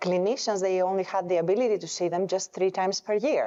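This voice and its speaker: Medium-pitched woman's voice in a Greek accent, with ordinary pitch variation. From Greece. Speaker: epidemiologist and health researcher. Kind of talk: panel discussion. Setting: conference stage with audience.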